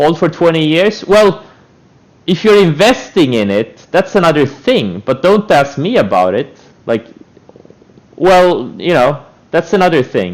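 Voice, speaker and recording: A man talks at a fairly slow pace with long, frequent pauses, his high pitch making very wide swings. Noticeable background noise sits behind him. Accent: Estonian. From Estonia. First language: Estonian. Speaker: trader streamer. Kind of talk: live stream commentary. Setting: live stream. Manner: animated.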